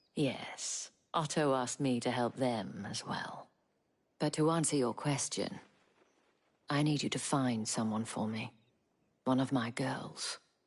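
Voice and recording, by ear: A woman puts on a character voice at an extremely low pitch with a slightly husky edge. She speaks slowly, with ordinary pitch variation.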